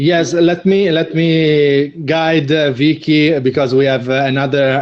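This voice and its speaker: A man speaks with an Italian accent and fairly even intonation. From Italy. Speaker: video marketing co-host. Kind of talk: live online show chat. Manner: halting, many fillers.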